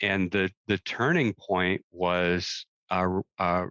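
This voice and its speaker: In an American accent, a man speaks with a very deep, low pitch and fairly even intonation. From US Midwest, Michigan. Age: 60s. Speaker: magician and executive coach. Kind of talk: personal testimony interview.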